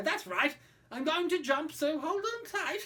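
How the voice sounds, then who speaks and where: A put-on character voice, high in pitch. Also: moderate pace. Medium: read story. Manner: boastful, jolly.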